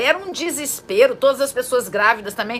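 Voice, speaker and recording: A woman speaks in a high-pitched voice. There is noticeable background noise behind her. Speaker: psychologist and therapist. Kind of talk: informal talk to camera. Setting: at home.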